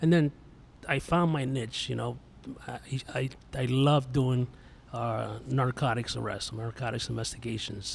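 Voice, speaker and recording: In a New York accent, a man speaks at medium pitch with fairly even intonation and long, frequent pauses. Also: fairly slow pace. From New York (Yonkers). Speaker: police instructor, Marine veteran. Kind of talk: casual podcast chat.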